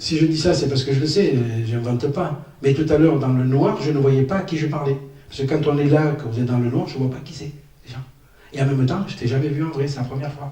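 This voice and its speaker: Against noticeable background noise and audible room echo, a man talks at a fairly quick pace with a fairly high pitch. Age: 60s. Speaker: stand-up comedian. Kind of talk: stand-up. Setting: stage with audience. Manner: animated.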